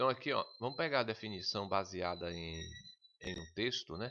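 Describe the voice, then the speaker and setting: A man speaks with a bright, sharp tone. Vocal fry runs through his voice. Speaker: computer skills teacher for civil service exams. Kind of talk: online lesson. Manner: fast.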